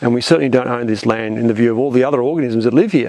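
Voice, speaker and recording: Over noticeable background noise, the speaker talks with an Australian accent and ordinary pitch variation. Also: man. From Australia, Melbourne. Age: 60s. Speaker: conservation scientist. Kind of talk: interview. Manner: halting, many repeated words.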